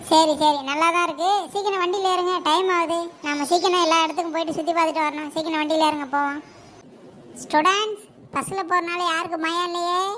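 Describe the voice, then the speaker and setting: A woman's cartoonish character voice, extremely high-pitched and monotone with flat intonation, at a moderate pace over clear background noise. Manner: scolding, impatient.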